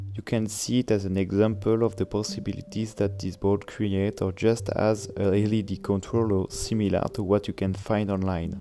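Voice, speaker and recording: A man's fairly low, dark and mellow voice in a French accent, monotone and flat, at a moderate pace with hardly any pauses. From France. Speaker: electronics maker reviewing his own board. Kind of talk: tutorial.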